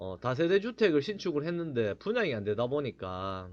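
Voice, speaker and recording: In a strong Gyeongsang accent, a man speaks at a fairly high pitch with very wide pitch swings. The background is quiet. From Gyeongsang region, Korea. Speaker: real estate agent, blogger. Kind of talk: informational talk. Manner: casual, with many fillers.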